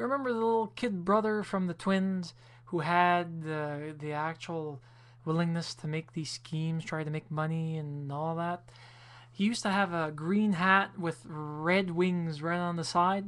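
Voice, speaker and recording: On a very clean recording with a silent background, a woman with a fairly low voice speaks at a fairly slow pace with ordinary pitch variation. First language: French. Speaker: video blogger. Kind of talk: casual video response monologue.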